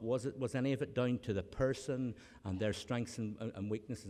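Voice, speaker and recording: A man with a Northern Irish accent at a fairly quick pace. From Northern Ireland. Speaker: academic, honorary graduate speaker. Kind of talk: graduation speech. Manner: halting, many repetitions.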